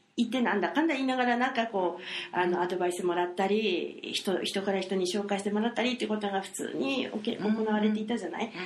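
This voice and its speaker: Amid noticeable background noise and audible room echo, a woman talks at a very fast pace with hardly any pauses, a medium pitch and ordinary pitch variation. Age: 40s. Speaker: podcast guest. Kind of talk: casual chat.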